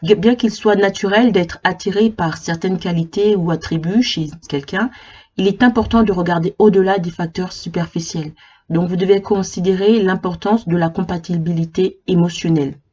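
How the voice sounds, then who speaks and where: A woman talks at a moderate pace in a medium pitch. Her voice is somewhat breathy, with ordinary pitch variation. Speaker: psychology YouTuber. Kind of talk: informal explainer video. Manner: halting, many repetitions and fillers.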